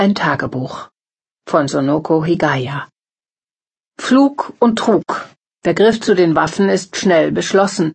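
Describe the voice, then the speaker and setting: At a very slow pace, a woman speaks in a fairly low pitch. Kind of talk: formal news reading of headlines. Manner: formal, brisk, even-paced; neutral, announcer-like delivery.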